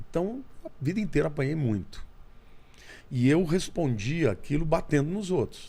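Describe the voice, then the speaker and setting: Lively in intonation, a man with a fairly high pitch and a dark, mellow tone talks at a moderate pace. He leaves long, frequent pauses, and room echo is audible. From Brazil, interior of São Paulo state (Olímpia). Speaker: pastor and theologian. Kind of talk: testimony.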